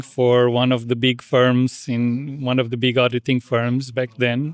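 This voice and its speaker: In a very clean recording with a silent background and a dry, close sound free of echo, a man with a Portuguese accent talks at a fairly slow pace in a medium pitch. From Portugal. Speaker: international education administrator. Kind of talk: interview. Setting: podcast. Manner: halting.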